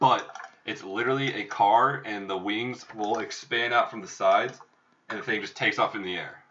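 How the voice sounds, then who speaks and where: With an American accent, a man in an ordinary speaking voice talks at a medium pitch and moderate pace, with fairly even intonation and big swings in loudness. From Minnesota. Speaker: podcast co-host. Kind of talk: casual chat.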